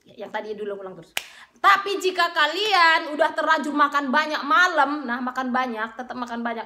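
A woman's raised, projected, high-pitched voice, animated in tone and lively in intonation, at a fairly quick pace with big swings in loudness. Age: 30s. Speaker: beauty vlogger. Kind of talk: casual vlog monologue. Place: home room. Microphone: phone near.

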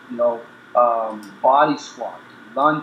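A man's voice comes through with audible room echo and light background noise behind it. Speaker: guest. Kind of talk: interview answer. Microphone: video call.

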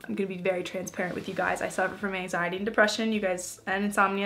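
A woman talks at a very fast pace. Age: 20s. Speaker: lifestyle YouTuber; lifestyle vlogger. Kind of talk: casual vlog talk to camera. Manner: animated.

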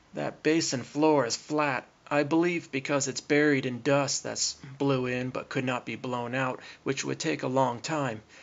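He has an ordinary speaking voice at a medium pitch. His intonation is fairly even. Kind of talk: documentary narration over screen recording.

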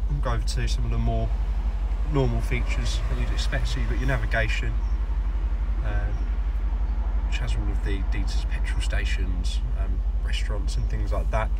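Amid loud background noise, a man talks at a moderate pace with long, frequent pauses. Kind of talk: walkaround commentary. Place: car. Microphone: phone near.

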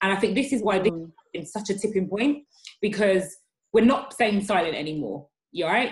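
At a fairly quick pace, the speech comes out somewhat breathy. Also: woman. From England, Ghanaian family. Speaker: diversity and inclusion executive; guest. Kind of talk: interview. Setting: video call. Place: home room. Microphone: webcam.

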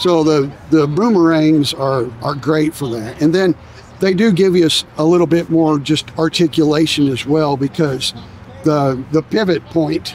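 The voice comes at a fairly slow pace, dry with no echo, over light background noise. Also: man, ordinary pitch variation. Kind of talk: interview answer. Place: street.

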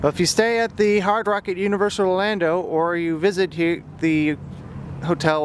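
Spoken at a fairly quick pace, the voice sounds dry with no echo over noticeable background noise. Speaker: theme park vlogger. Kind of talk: casual vlog commentary. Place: street. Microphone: phone near.

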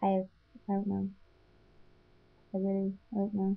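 A woman speaks at a medium pitch with a Northern Irish accent. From Northern Ireland. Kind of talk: accent tag word list and questions, casual talk to camera. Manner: stuttering.

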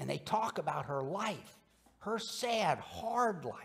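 A man talks fairly slowly, his pitch swinging very widely up and down. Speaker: minister preaching. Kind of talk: sermon. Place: church. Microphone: podium.

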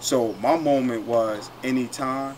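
A man talks with an American accent. There is noticeable background noise. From New York. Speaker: former college basketball player; host or former teammate in round-table talk. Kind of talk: casual chat. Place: garden. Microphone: camera far.

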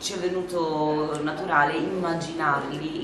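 A woman talks fairly slowly while noticeable background noise runs underneath. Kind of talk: interview answer. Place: hall. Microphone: camera far.

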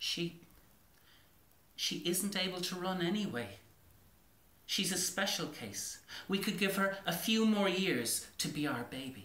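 A man puts on a character voice with an Irish accent, high-pitched, bright and sharp, with lively intonation. Long, frequent pauses break up his speech, and strong room echo fills the recording. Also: fairly slow pace.

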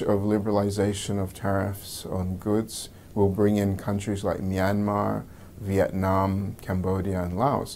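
At a fairly slow pace, a man speaks in a dark, mellow tone at fairly low pitch over light background noise. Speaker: economic analyst interviewee. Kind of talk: interview soundbite. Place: studio.

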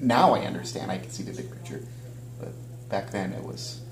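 A man's voice comes through with light background noise and audible room echo. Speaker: interview guest. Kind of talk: interview answer. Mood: reflective. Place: home room.

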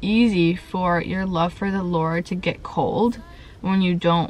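The woman's pitch is fairly low and her intonation fairly even. The sound is dry with no echo. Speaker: lifestyle vlogger. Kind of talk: casual vlog chat. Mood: reflective, a bit vulnerable. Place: car. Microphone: phone near.

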